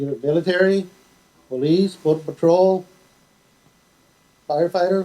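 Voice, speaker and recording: Speaking at a moderate pace with an American accent, a man with a high pitch and a dark, mellow tone keeps a fairly even intonation, with long, frequent pauses. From Texas, Laredo. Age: 60s. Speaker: fire marshal. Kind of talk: speech to students.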